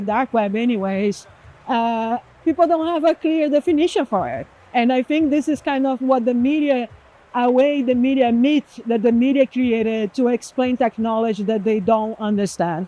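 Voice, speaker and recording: A woman speaks in a Portuguese accent, her pitch high with ordinary variation. The sound is dry and close, with no echo. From Brazil. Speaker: executive director of a privacy nonprofit. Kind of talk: interview.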